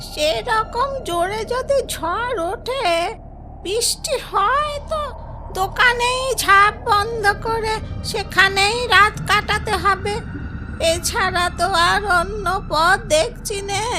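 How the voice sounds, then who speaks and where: In a cartoonish character voice, a woman speaks at a very slow pace and an extremely high pitch, with clear background noise. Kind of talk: children's cartoon storytelling. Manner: gentle, affectionate.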